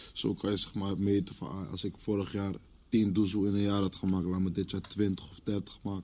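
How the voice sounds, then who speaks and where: At a moderate pace, a man with a fairly low pitch and a dark, mellow tone speaks with monotone, flat intonation. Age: 20s. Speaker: rapper. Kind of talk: casual chat.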